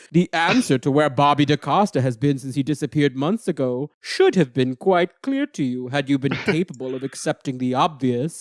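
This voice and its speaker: A man puts on a booming, menacing character voice at a fairly high pitch. He keeps a moderate pace with hardly any pauses, on a very clean recording with a silent background. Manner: creepy, menacing.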